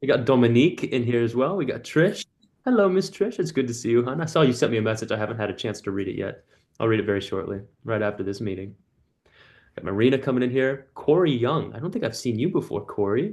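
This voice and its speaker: A man rattles off his words at a very fast pace with lively intonation. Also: medium pitch for a man. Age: 20s. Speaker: community coach and call host. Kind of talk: casual group video call. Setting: video call. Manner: warm, animated.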